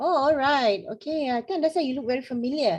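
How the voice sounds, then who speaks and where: Her pace is fairly quick. The voice belongs to a woman. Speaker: motivational trainer. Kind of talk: online workshop discussion.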